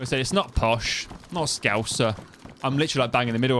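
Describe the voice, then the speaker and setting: Over noticeable background noise, a man speaks at a fairly quick pace and a medium pitch. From East Midlands, England (Kettering, Northamptonshire). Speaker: gaming streamer. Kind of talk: live gameplay stream commentary. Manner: casual, rambling.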